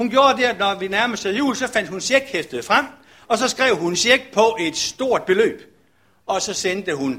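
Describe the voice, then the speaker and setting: This man speaks at a fairly slow pace in a raised, projected voice, pitched high with very wide swings. His tone is bright and sharp, and the recording is very clean with a silent background. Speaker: pastor. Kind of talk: sermon.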